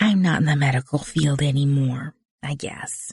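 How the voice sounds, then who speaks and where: This put-on character voice is whiny, with a whiny tone at a low-to-middle pitch. It keeps a moderate pace. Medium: read story. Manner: confidential, whiny.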